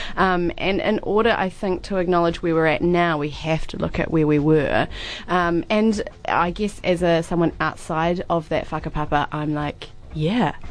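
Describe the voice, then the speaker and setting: Noticeable background noise sits behind a woman speaking in a New Zealand accent. Her fairly low voice moves at a fairly slow pace with fairly even intonation. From New Zealand, Christchurch. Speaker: theatre director and actor. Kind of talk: radio interview.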